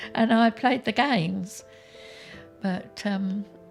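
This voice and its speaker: With music in the background, a woman in an English accent speaks very slowly at a medium pitch, with ordinary pitch variation. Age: 80s+. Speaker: retired gamer. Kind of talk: documentary interview answer.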